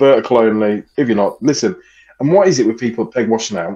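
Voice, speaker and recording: Pitch swings are very wide as a man talks at a fairly quick pace. Behind him, the background stays quiet. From England. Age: 30s. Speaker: podcast co-host. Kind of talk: casual chat. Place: home room. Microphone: headset.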